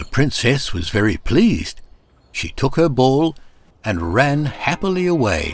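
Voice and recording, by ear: This man's voice sits at medium pitch and moves through big pitch swings. He goes at a fairly slow pace.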